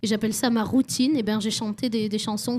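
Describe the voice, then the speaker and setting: Her fairly high pitch carries a dark, mellow tone as this woman talks at a moderate pace, somewhat breathy, with fairly even intonation. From French Basque Country. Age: 20s. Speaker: singer-songwriter. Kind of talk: radio interview. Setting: radio studio at a festival.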